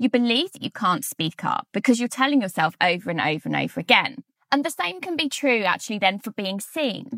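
A woman with a British accent talks fairly quickly in a fairly high voice with a bright, sharp tone and very wide pitch swings, the sound dry and close with no echo. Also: hardly any pauses. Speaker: podcast host and author. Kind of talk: solo podcast monologue. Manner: energetic.

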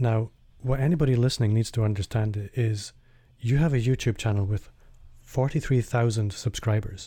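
The voice has a dark, mellow tone and a calm tone, somewhat breathy, with very even loudness and ordinary pitch variation. It moves at a moderate pace on a very clean recording with a silent background. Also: man, medium pitch for a man. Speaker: podcast host. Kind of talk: interview.

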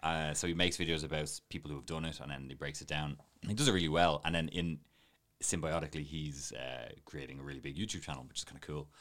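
A man with a very deep, low pitch and vocal fry, talking at a very fast pace with fairly even intonation and big swings in loudness. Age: 30s. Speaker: videographer and coffee trainer. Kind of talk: casual interview chat.

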